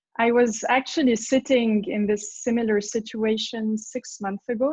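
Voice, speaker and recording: A somewhat breathy woman's voice with a French accent, fairly high in pitch, with fairly even intonation. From France. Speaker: parent. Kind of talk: testimony. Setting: video call.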